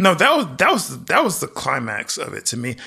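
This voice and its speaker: At a fairly quick pace, a man speaks in a bright, sharp tone. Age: 30s. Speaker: podcast co-host. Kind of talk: casual chat.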